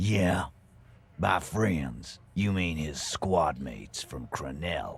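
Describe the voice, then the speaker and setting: In a put-on character voice, a man speaks at a very slow pace with a very deep, low pitch and lively intonation. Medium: video game. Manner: sneering, threatening.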